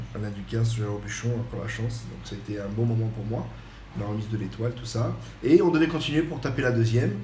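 Over noticeable background noise and audible room echo, a man talks very fast at a medium pitch. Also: ordinary pitch variation, big swings in loudness. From French Riviera. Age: 40s. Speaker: chef. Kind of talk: podcast interview.

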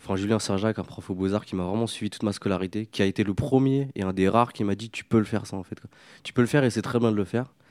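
A man with a fairly low pitch rattles along at a very fast pace, his intonation fairly even. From France, Paris suburbs estate of Algerian descent. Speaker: artist, filmmaker and comics author. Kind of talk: interview.

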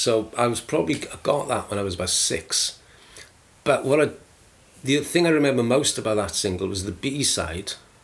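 With a South Wales accent, a man speaks at a fairly quick pace with lively intonation. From Wales, South Wales valleys (Aberdare). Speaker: radio DJ and music publicist. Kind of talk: casual interview.

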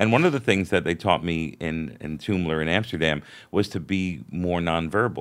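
Moderate-paced speech in a New York accent with ordinary pitch variation, on a very clean recording with a silent background. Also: man, very deep, low pitch for a man. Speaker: podcast host and comedian. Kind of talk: casual interview chat.

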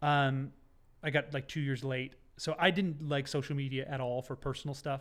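On a very clean recording with a silent background, a man speaks. His pitch is fairly high, and his intonation is monotone and flat. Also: moderate pace. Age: 30s. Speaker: photographer and content creator. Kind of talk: casual chat. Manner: loud.

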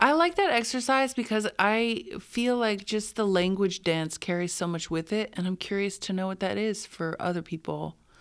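With an American accent and a normal speaking voice, a woman talks at medium pitch and a moderate pace, her intonation lively and hardly any pauses between words. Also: very clean recording, silent background. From US Southwest, New Mexico. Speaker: dancer and choreographer. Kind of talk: casual chat. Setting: in person at a dance school.

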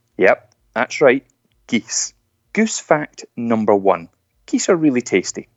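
Speaking in a Scottish accent, a man uses lively intonation at a very slow pace. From Scotland. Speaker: motivational speaker. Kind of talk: inspirational talk.

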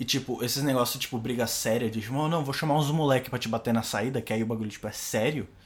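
A man at a very fast pace, his intonation fairly even, over noticeable background noise. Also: medium pitch for a man. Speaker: podcast host. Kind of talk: casual chat.

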